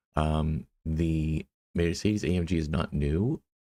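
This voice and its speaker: In a very clean recording with a silent background, a man with a very deep, low pitch mumbles in fairly even intonation. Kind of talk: gaming live stream commentary. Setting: monitor speakers, poor mic setup. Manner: mumbling.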